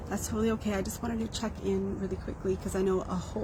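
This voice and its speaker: Audible room echo surrounds a woman's voice. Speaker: social media user giving personal update. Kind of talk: casual live video update.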